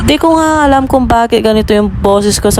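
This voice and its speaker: A woman speaks in a playful tone with lively intonation. Noticeable background noise and audible room echo fill the recording. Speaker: vlogger. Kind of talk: voice-over vlog narration. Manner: casual, playful.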